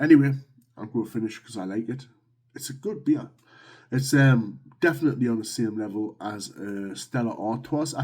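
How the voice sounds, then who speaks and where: Speaking with a Geordie accent, a man talks at a fairly quick pace, with long, frequent pauses and big swings in loudness. His pitch is medium, with ordinary pitch variation. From Newcastle, northern England. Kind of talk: casual, relaxed.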